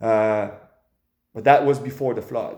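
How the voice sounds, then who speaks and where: A man with a French accent talks at a fairly slow pace, his pitch varying in an ordinary way. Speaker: vlogger. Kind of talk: casual opinion monologue. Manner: animated.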